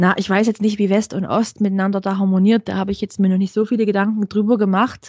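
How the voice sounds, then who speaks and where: A woman's somewhat breathy, medium-pitched voice at a very fast pace with hardly any pauses, monotone and flat, in a dry, close sound with no echo. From Saxony, Ore Mountains (eastern Germany). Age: 30s. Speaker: blogger and mother of a child with eczema. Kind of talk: casual interview.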